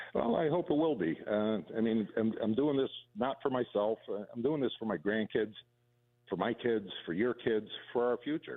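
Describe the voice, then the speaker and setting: A plain, everyday voice from a man, medium in pitch, with lively intonation. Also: moderate pace. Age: 60s. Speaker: city council candidate. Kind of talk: radio interview.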